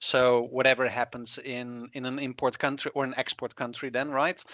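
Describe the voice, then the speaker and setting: Medium-pitched male voice with a slight Dutch accent and flat, monotone intonation. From Netherlands. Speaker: climate researcher. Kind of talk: interview. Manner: halting, many fillers.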